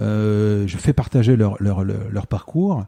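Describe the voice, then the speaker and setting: Very slowly, a man speaks in a dark, mellow tone, the sound dry and close with no echo. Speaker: podcast host, former photographer. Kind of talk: interview as guest, casual conversation. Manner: hesitant, stammering; many fillers and repetitions.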